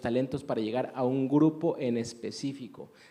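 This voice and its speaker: Moderately paced male speech, pitched fairly high, with ordinary variation in pitch. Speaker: radio announcer and theology teacher. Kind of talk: interview.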